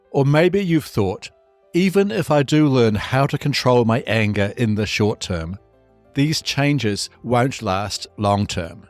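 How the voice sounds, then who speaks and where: Lively intonation carries the speech, with music playing in the background. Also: man. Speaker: podcast host, anger management coach. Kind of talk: podcast intro narration.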